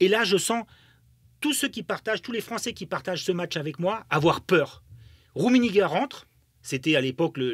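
With an animated tone and very wide pitch swings, a man talks at a moderate pace in a dry sound with no echo against a quiet background. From Germany. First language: German (speaking French). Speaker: football pundit, former footballer; football pundit. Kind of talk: podcast interview. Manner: animated, many hesitations and repetitions. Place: studio. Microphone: studio mic.

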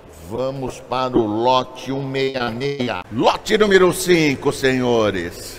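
This man talks very slowly in an upbeat tone with lively intonation. Noticeable background noise runs behind him. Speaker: auctioneer. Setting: auction hall with live and online bidders. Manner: upbeat salesman patter, hyping lots. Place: market. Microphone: phone near.

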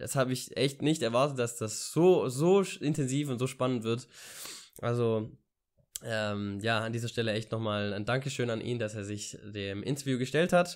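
Against a quiet background, the voice is heard. Its pitch shows ordinary variation. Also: man, medium pitch for a man, moderate pace. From Ulm, southern Germany; Germany. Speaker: vlogger and university student; vlogger. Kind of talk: casual vlog monologue. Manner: hesitant, many filler sounds. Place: home room. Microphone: studio mic.

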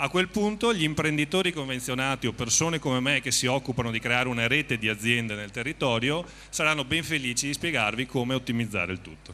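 A man's medium pitch, lively intonation and very fast pace. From Veneto, northern Italy (Treviso); Veneto. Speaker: company representative. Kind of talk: on-stage interview / promotional talk. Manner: improvised, slightly halting. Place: stage. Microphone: handheld.

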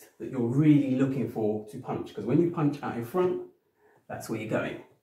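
There is audible room echo as a man speaks at a moderate pace. His pitch variation is ordinary. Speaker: personal trainer. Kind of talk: tutorial. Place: home room. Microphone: camera far.

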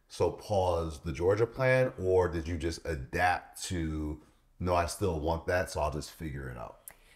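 A man with a very deep, low voice speaks at a fairly slow pace, somewhat breathy, with lively intonation against a quiet background. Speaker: podcast co-host. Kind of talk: casual interview. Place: home room.

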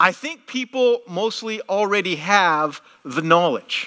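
Over a quiet background, the speaker's intonation is lively. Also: man. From Canada. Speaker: pastor. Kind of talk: sermon. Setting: church. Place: church.

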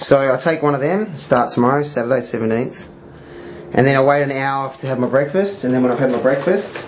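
Against light background noise, a man talks at a fairly quick pace with ordinary pitch variation. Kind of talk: casual explanation to a friend. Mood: calm, matter-of-fact. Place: kitchen. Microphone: camera far.

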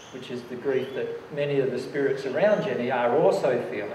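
A man at a moderate pace with ordinary pitch variation, light background noise and audible room echo. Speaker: presenter. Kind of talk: lecture answering audience question. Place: hall.

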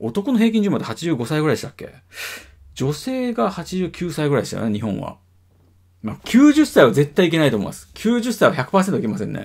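The voice moves at a fairly quick pace with very wide pitch swings and big swings in loudness. The background stays quiet. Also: man, high pitch for a man. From Japan. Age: 40s. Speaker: video blogger. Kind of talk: casual monologue. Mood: reflective, musing. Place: home room. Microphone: webcam.

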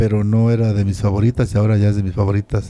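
Talking at a fairly quick pace, a man has a dark, mellow tone and monotone, flat intonation. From Mexico. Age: 60s. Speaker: retired pro wrestler; interviewee. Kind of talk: interview. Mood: reflective, warm. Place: home room. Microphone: handheld.

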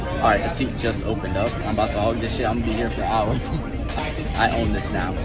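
Over loud music in the background, a man talks at a very fast pace, recorded with a dry sound and no echo. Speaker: fitness vlogger. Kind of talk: casual vlog chat. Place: gym. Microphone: phone near.

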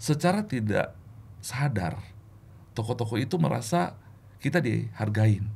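A man's voice with vocal fry, very wide pitch swings and long, frequent pauses. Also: fairly slow pace. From Indonesia, born in Makassar; Indonesia. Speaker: regional sales manager. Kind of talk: testimony. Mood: warm, reflective faith story. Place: studio. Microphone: studio mic.

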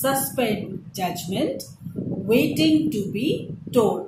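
A woman speaks at a very slow pace, her pitch swinging very widely. Noticeable background noise runs underneath. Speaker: teacher. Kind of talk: lecture; poem reading aloud, slow and deliberate. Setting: online video lesson. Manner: formal, explanatory, didactic; measured, with fillers and repetition. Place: home room. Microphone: phone near.

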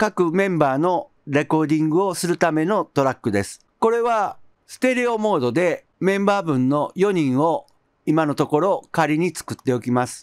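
In a quiet setting, a man talks at a moderate pace with a high pitch and lively intonation. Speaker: music production YouTuber. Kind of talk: tutorial. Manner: calm and explanatory.

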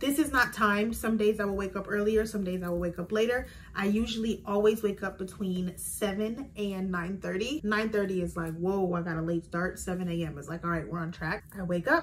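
Over light background noise, a woman speaks at a fairly quick pace with hardly any pauses and ordinary pitch variation. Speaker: lifestyle vlogger. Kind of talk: casual vlog chat.

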